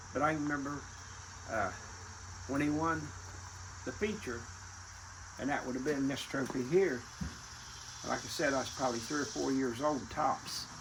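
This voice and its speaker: Over noticeable background noise and audible room echo, a man with an American accent talks at a moderate pace with long, frequent pauses, a fairly high pitch and ordinary pitch variation. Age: 70s. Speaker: retired racing family elder. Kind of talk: casual reminiscing interview.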